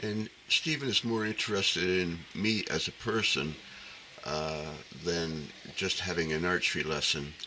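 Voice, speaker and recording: A man with a very deep, low voice speaks at a very slow pace over noticeable background noise. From Newfoundland, Canada. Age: 70s. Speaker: archery vlogger. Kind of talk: casual monologue to camera. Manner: halting, many fillers.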